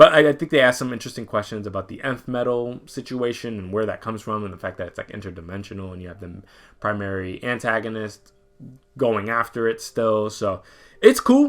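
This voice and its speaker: A man talks at a medium pitch and a fairly quick pace, with ordinary pitch variation and big swings in loudness. The recording is very clean with a silent background. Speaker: comics podcast host. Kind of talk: solo review show. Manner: fast.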